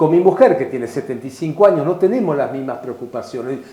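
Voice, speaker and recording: Over noticeable background noise and audible room echo, a man speaks with very wide pitch swings. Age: 70s. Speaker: philosopher and writer. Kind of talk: interview.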